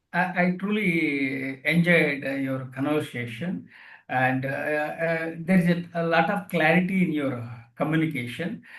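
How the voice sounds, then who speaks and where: The speaker has an Indian accent and talks at a fairly slow pace. Pitch variation is ordinary. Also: man, fairly high pitch for a man. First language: an Indian language. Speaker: author and retired air force veteran. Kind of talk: podcast interview. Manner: halting.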